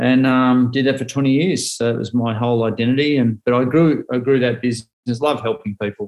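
A man with an Australian accent, fairly even intonation and a fairly quick pace. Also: medium pitch for a man. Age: 40s. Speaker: motivational speaker. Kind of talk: casual chat.

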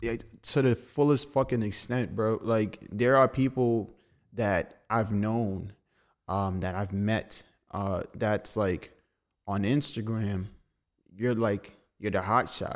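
A man's fairly low voice with a New York accent, very slow with long, frequent pauses and fairly even intonation, in a very clean recording with a silent background. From Brooklyn, New York. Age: 20s. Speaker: designer. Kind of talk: casual chat.

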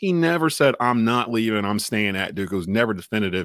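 In a very clean recording with a silent background and a dry, close sound with no echo, a man with an American accent talks very fast at a medium pitch, his pitch swinging very widely. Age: 40s. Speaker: sports radio host. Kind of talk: sports talk radio chat.

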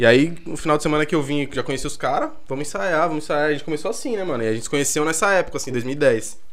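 Talking at a very fast pace with hardly any pauses, a man keeps a fairly high pitch with ordinary variation. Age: 20s. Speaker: musician. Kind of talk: casual chat.

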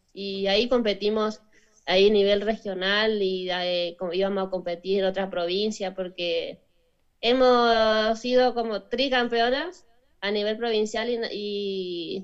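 A woman with a northern Argentine accent talks at a fairly slow pace in a medium pitch. Her intonation is fairly even, and the background is quiet. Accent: Argentine Spanish (northern, Chaco). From northern Argentina, Chaco province. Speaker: professional footballer. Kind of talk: interview. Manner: halting.

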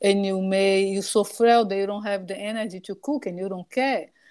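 Speaking at a medium pitch with ordinary pitch variation, a woman with a Portuguese accent is heard on a very clean recording with a silent background. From Brazil (Salvador, Bahia). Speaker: dietitian nutritionist. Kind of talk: casual interview chat.

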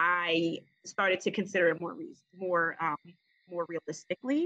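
Dry and close with no echo, a woman with an American accent speaks with a normal speaking voice at a medium pitch, with lively intonation and a moderate pace. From Maryland, Prince George's County. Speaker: physician and naval officer. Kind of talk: casual interview.

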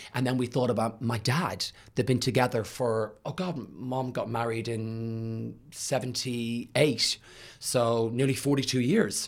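Speaking at a fairly slow pace with fairly even intonation, the voice carries an Irish accent on a very clean recording with a silent background. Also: man, medium pitch for a man. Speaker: podcast host. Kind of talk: interview conversation.

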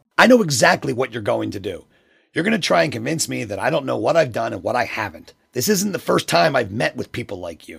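Doing a put-on character voice, a man talks at a very fast pace in a raspy tone at a medium pitch. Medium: audio drama. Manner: defensive, tense.

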